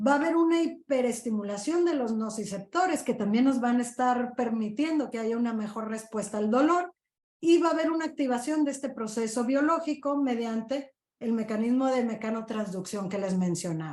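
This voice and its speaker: Her voice sits high, and her intonation is lively. She keeps a moderate pace. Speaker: physician. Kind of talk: lecture.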